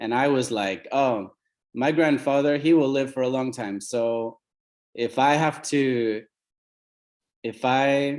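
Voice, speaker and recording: Very slowly, a man with an American accent speaks in a medium pitch with ordinary pitch variation. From US Pacific Northwest, Oregon. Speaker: company CEO. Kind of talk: team call talk, personal story.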